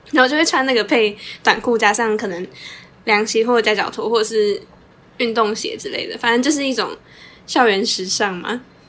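A woman speaks at a fairly quick pace with a fairly high pitch and ordinary pitch variation. Her speech has long, frequent pauses. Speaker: podcast co-host, social work student. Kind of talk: casual chat.

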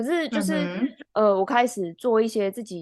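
A woman with a Taiwanese accent talks at a moderate pace in a medium pitch, with ordinary pitch variation and a quiet background. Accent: Taiwanese Mandarin. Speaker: athletic trainer and podcast co-host. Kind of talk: casual chat.

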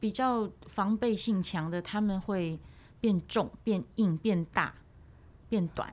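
A woman speaks at a very slow pace in a medium pitch. Her pitch variation is ordinary. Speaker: voice coach. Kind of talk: interview conversation.

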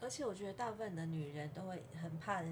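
Lively intonation and a fairly quick pace come through amid audible room echo. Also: woman. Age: 50s. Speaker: podcast host. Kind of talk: casual chat. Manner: animated.

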